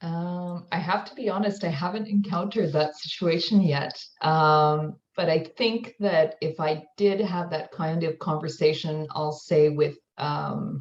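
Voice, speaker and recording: The speaker talks at a fairly slow pace with hardly any pauses. The voice is somewhat breathy, with big swings in loudness. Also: woman, fairly low pitch for a woman, ordinary pitch variation. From Canada. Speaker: university student services manager. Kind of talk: online panel discussion.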